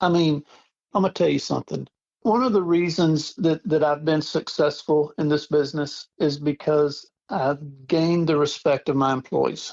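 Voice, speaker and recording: A man with a Texan accent speaks at a moderate pace and a fairly high pitch. His loudness stays very even, with ordinary pitch variation. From Texas. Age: 60s. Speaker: rent-to-own store owner. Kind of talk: interview.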